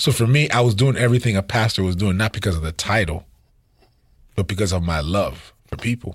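On a very clean recording with a silent background, a man with a fairly low, somewhat breathy voice talks at a fairly quick pace with ordinary pitch variation. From Haitian family household. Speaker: pastor and music producer. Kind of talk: casual chat.

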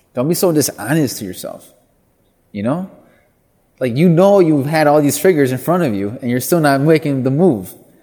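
With lively intonation and a moderate pace, a man speaks, leaving long, frequent pauses. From US Midwest, Milwaukee, Wisconsin. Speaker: chef and food business owner. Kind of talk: interview conversation. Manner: repetitive fillers, restarts.

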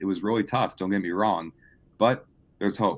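Fairly low in pitch, this man speaks in a plain, everyday voice. His intonation stays fairly even. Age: 20s. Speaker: marketing graduate. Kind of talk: casual chat.

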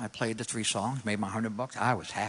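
Talking at a fairly quick pace, a man with a New York accent speaks at a medium pitch. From New York City. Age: 60s. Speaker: guitar teacher. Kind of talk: testimony. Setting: church stage with audience.

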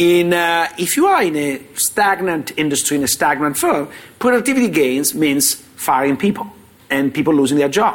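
Fairly high-pitched male voice with an Italian accent, lively intonation, very even loudness and a moderate pace. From Italy. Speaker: finance professor. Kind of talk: panel discussion. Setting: stage with live audience.

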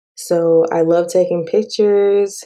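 A woman's fairly low voice with an American accent, dark and mellow in tone, monotone and flat in intonation. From Texas, Dallas-Fort Worth area. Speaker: podcast host. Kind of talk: casual monologue.

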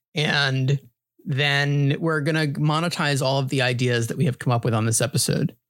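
A man with an American accent has an ordinary speaking voice, fairly high in pitch, with fairly even intonation and very even loudness. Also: moderate pace. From New York (grew up partly in New Hampshire). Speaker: podcast host. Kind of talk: casual chat.

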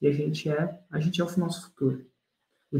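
A man's dark, mellow voice, fairly high in pitch, with fairly even intonation. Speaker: podcast host and launch course teacher. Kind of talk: casual interview.

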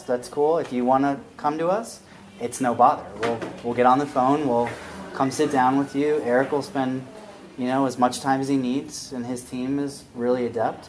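Noticeable background noise sits under a voice at a moderate pace with fairly even intonation. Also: man. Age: 40s. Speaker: startup evangelist and investor. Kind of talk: interview at live event.

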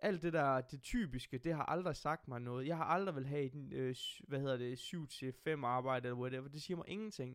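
A man with an ordinary speaking voice at a moderate pace, ordinary pitch variation and hardly any pauses. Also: fairly high pitch for a man. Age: 20s. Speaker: podcast host. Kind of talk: casual chat.

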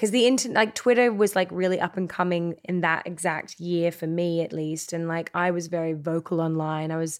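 A woman with an Australian accent speaks at a fairly quick pace in a fairly low pitch, with ordinary pitch variation, on a very clean recording with a silent background. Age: 30s. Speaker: actor. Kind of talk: casual interview chat.

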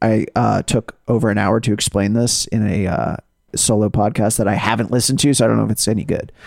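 In a dry, close sound with no echo, a man with a normal speaking voice and medium pitch talks at a fairly quick pace with very even loudness. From US South. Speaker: podcast host. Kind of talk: casual banter podcast chat.

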